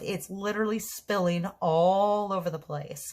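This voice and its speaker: A woman's somewhat breathy voice comes through in a very clean recording with a silent background. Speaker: tarot reader. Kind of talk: tarot reading monologue. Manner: stuttering today; hesitant with fillers.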